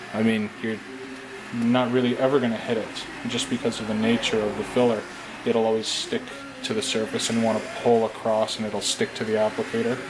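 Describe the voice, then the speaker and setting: Fairly quick, flat, monotone speech from a man over noticeable background noise. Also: medium pitch for a man. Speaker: prop maker. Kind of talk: tutorial. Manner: casual, hesitant with fillers; quiet while concentrating.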